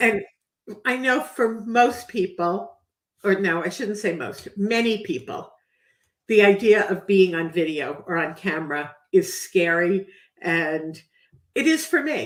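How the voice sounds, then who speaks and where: The speaker moves at a fairly slow pace, with lively intonation and long, frequent pauses. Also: woman, medium pitch for a woman. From New York. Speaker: podcast host. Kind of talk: interview.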